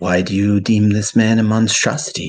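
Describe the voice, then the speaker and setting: Using a put-on character voice, a man speaks at a moderate pace in a fairly low pitch with fairly even intonation. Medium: actual play.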